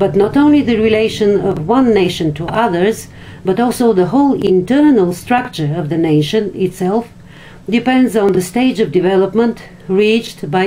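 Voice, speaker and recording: A woman with a non-native accent, her pitch medium and her intonation lively, at a moderate pace over noticeable background noise. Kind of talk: philosophy text reading.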